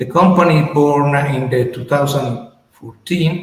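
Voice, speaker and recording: Man's medium-pitched voice at a fairly slow pace, with audible room echo. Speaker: company representative presenting a startup. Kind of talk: business presentation. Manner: halting.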